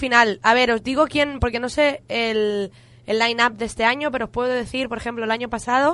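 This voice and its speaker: This woman has a normal speaking voice, pitched fairly high. Her intonation is fairly even, and the background is quiet. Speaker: radio host. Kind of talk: casual radio chat.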